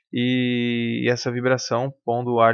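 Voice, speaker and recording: A man is speaking. The background is quiet. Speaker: music teacher. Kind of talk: lecture. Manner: halting.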